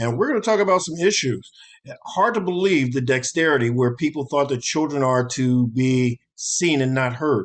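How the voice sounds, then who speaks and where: A man with an ordinary speaking voice, fairly high pitch and lively intonation at a moderate pace, against a quiet background. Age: 60s. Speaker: talk show host. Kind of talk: show outro.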